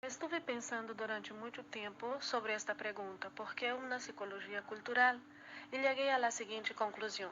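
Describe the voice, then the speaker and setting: A woman with a Portuguese accent talks at a moderate pace, her fairly high pitch showing ordinary variation. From Brazil. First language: Portuguese (speaking Spanish). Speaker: student presenter. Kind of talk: class presentation.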